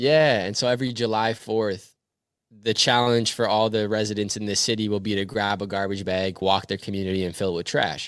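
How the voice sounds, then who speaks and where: With a Canadian accent, a man talks at a fairly quick pace in an ordinary speaking voice, his pitch fairly low and his intonation fairly even, on a very clean recording with a silent background. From Canada. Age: 20s. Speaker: motivational speaker. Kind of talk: casual interview.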